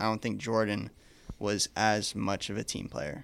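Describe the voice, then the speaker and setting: In a very clean recording with a silent background, a man uses an ordinary speaking voice at a fairly low pitch and a moderate pace. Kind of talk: casual chat.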